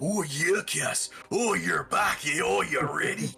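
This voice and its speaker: With faint music in the background, a man does a put-on character voice at a fairly slow pace. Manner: mocking, greeting.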